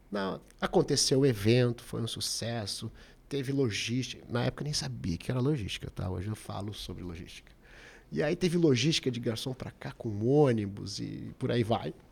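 This man has an ordinary speaking voice at a medium pitch, delivered at a moderate pace with lively intonation. The recording is very clean, with a silent background. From Porto Alegre, southern Brazil. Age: 40s. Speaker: restaurant owner. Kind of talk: interview.

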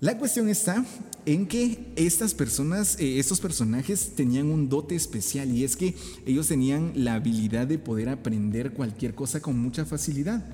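A man speaks at a moderate pace in a fairly high pitch, his pitch swinging very widely while his loudness stays very even, with noticeable background noise. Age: 20s. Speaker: podcast host. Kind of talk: casual interview.

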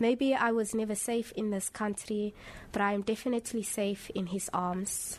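Audible background noise and normal pitch movement. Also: woman. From South Africa. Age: 20s. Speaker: poet and psychology student. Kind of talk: interview. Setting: live event at a library.

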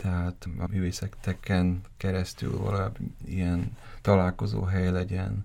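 With a dark, mellow tone and very deep, low pitch, a man speaks at a fairly slow pace and fairly even intonation. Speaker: gallery founder. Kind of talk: interview.

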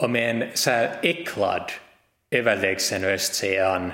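With a bright, sharp tone, a man speaks low, using ordinary pitch variation.

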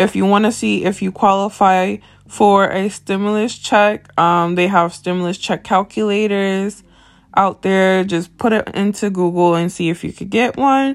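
Here is a woman with a plain, everyday voice, medium in pitch. She moves at a moderate pace with fairly even intonation. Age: 20s. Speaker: podcast host. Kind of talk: casual monologue.

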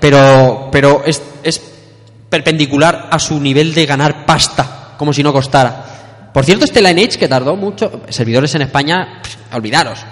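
Moderately paced male speech, fairly high in pitch with ordinary variation, over noticeable background noise. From Spain, Elche (Valencian Community). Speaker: podcast host. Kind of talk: live panel discussion before an audience. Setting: live event at a school with audience.

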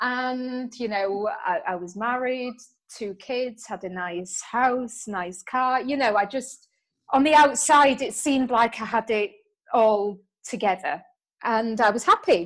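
In a British accent, a woman with a high pitch and ordinary pitch variation speaks at a fairly slow pace on a very clean recording with a silent background. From UK. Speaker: entrepreneur, book-writing coach. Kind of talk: interview conversation.

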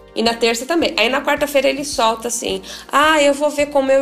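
Ordinary pitch variation in a woman's speech, set against noticeable background noise. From Paraná interior, Brazil. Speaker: lawyer and author. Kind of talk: interview testimony.

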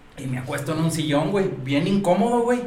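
A man with a Mexican accent, lively intonation and a moderate pace, plus audible room echo and noticeable background noise. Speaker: bar worker. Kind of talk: casual chat. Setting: live stream.

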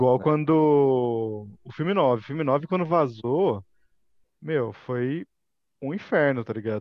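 A man talks at a very slow pace. His medium pitch shows ordinary variation. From Brazilian countryside (interior). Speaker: Star Wars YouTuber. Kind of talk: casual chat.

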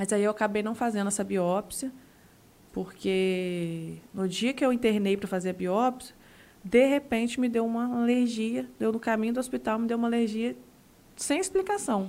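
The woman's tone is dark and mellow, with a fairly high pitch. Her pitch varies in an ordinary way. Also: moderate pace. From Santa Clara, Rio de Janeiro state, Brazil. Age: young. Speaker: cancer patient. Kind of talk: testimony.

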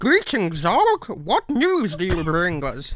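Someone uses a put-on character voice at a middle pitch, speaking fairly slowly. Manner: strange, robotic alien voice.

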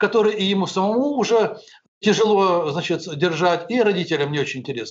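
High male voice, ordinary pitch variation throughout. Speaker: businessman and educator, founder of private schools. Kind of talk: interview.

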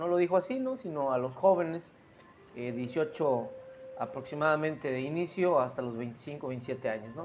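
With music behind him, a man talks in a fairly high pitch. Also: ordinary pitch variation, fairly slow pace. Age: 40s. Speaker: podcast host. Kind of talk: solo monologue podcast.

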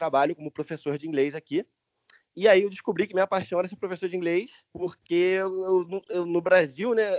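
At a fairly quick pace, a man with a high pitch talks with ordinary pitch variation. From Brazil, Niterói (Rio de Janeiro). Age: 20s. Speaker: English teacher and YouTuber. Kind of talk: casual interview.

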